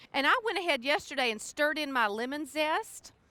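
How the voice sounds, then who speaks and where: A woman's raised, projected voice in a Southern US accent, bright and sharp in tone, with lively intonation at a fairly quick pace and a dry, close sound with no echo. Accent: Southern US (Georgia). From US South, South Georgia. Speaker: cookbook author. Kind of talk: cooking demonstration. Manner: casual, chatty.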